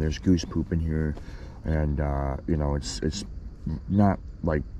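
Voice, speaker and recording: Amid noticeable background noise and audible room echo, a man speaks at a moderate pace in a very deep, low pitch. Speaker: fishing vlogger. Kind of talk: casual vlog narration. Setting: outdoors on a kayak. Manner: quiet; excited.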